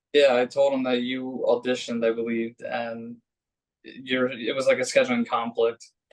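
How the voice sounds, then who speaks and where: With a Philadelphia accent, a man talks in a monotone, flat intonation while his loudness swings widely. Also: medium pitch for a man, moderate pace. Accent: Delco (Philadelphia-area). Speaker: podcast host. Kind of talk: casual chat.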